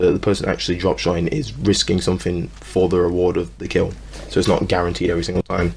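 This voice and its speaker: A man whispers quietly at a very fast pace over noticeable background noise. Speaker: gaming YouTuber. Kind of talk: gaming commentary voice-over. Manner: quiet, near whisper.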